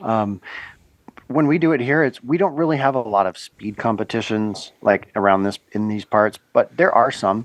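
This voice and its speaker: A man's medium-pitched voice, lively in intonation, at a fairly slow pace. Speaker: sheep shearer. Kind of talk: podcast interview answer. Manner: relaxed.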